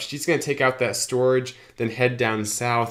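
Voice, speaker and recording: A man with a medium pitch and an unremarkable speaking voice moves along at a fairly quick pace. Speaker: gaming youtuber. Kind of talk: gameplay commentary.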